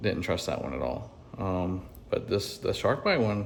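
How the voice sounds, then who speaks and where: In a Southern US accent, a man talks at a fairly quick pace with a fairly low pitch and fairly even intonation. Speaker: HVAC technician. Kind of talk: on-the-job tutorial. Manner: casual, with fillers.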